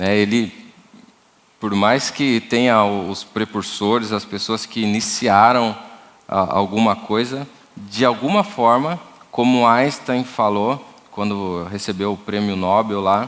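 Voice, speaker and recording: Speaking in a fairly low pitch, a man moves at a very slow pace with fairly even intonation. He leaves long, frequent pauses. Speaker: church music workshop leader, drummer. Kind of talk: workshop talk. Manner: halting, repeats words.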